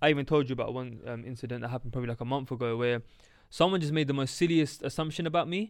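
A man with a London accent at a very fast pace, medium in pitch with ordinary pitch variation, on a very clean recording with a silent background. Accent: London multicultural English. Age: 20s. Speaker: podcast co-host. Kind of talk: casual chat.

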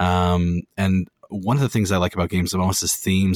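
A man speaks at a fairly quick clip in a very deep, low voice, his intonation flat and monotone, the sound dry and close with no echo. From Ontario, Canada. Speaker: board game podcaster. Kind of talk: casual chat. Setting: remote call.

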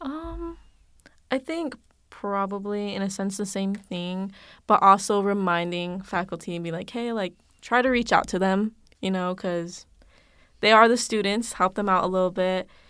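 A woman's normal speaking voice, medium in pitch, with ordinary pitch variation, a moderate pace, and a very clean recording over a silent background. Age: 20s. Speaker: college education student. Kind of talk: casual interview chat. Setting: studio sound booth.

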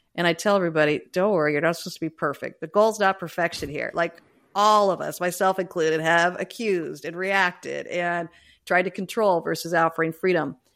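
A woman's fairly low voice, an ordinary speaking voice, fairly quick, with fairly even intonation, on a very clean recording with a silent background. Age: 50s. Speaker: leadership coach and author. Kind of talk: interview conversation.

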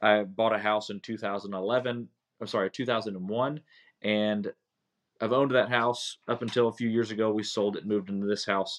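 Against a quiet background, a man speaks at medium pitch and a fairly quick pace in an ordinary speaking voice. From North Carolina. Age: 40s. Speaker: podcast host. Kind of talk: casual solo monologue. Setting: home basement, recorded on phone.

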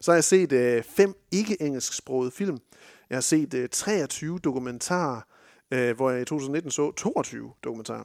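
A man speaks fairly slowly in a normal speaking voice with lively intonation. The recording is very clean, with a silent background. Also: fairly high pitch for a man, dry, close sound with no echo. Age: 30s. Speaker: film podcast host. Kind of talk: casual chat.

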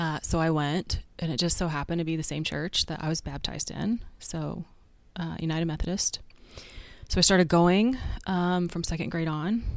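A woman with an ordinary speaking voice and an American accent, fairly low in pitch, at a moderate pace with fairly even intonation, on a very clean recording with a silent background. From Oklahoma City, US. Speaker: pastor. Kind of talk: interview conversation.

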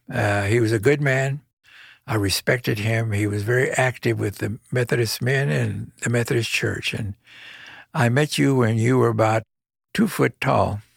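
With an American accent, a man speaks at a moderate pace in a somewhat breathy, medium-pitched voice with ordinary pitch variation, recorded dry and close with no echo. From Texas, Corpus Christi. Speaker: judge. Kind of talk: interview.

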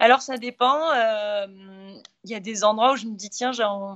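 Here a woman talks at a fairly high pitch. Her intonation stays fairly even. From southern France, Montpellier. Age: 40s. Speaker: endurance athlete. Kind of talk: podcast interview.

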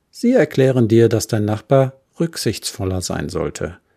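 A man speaks with a dark, mellow tone, somewhat breathy, calm and soothing, at a fairly slow pace. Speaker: podcast host and therapist. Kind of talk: guided meditation. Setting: solo home studio recording. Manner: calm, slow and soothing.

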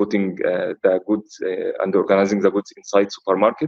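A man talks at a fairly quick pace. The sound is dry and close with no echo. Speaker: finance expert and speaker. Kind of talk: interview conversation. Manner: halting, many fillers.

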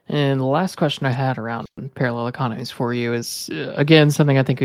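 In a plain, everyday voice, a man speaks at a fairly quick pace and medium pitch with fairly even intonation, recorded dry and close with no echo. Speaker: podcast host. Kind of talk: casual interview.

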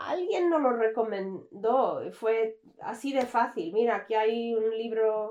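Her pace is very slow. The woman's pitch varies in an ordinary way. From Canada. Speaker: recruitment manager. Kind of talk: interview. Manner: halting.

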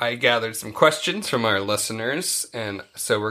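The recording is very clean and the background silent. A man talks in a bright, sharp tone. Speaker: podcast host. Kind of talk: casual chat.

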